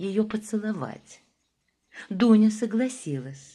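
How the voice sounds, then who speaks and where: A woman's dark, mellow voice with lively intonation at a very slow pace. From Moscow. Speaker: actress. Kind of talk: audiobook reading of classic prose.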